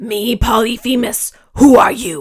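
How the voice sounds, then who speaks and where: Putting on a growling character voice, a woman speaks at a fairly slow pace with fairly high pitch. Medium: read story. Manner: grunting broken speech.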